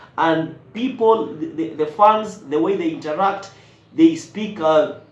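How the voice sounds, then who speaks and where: There is audible room echo around a man's high-pitched voice with ordinary pitch variation. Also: fairly slow pace. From Kenya. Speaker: YouTube reaction creator. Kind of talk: casual vlog commentary. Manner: halting, many repetitions and fillers.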